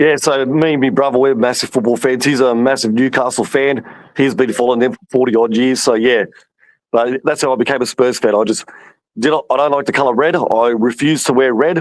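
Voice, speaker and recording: In an Australian accent, a man speaks at a fairly quick pace, keeping very even loudness and fairly even intonation. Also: medium pitch for a man. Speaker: football fan. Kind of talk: casual chat.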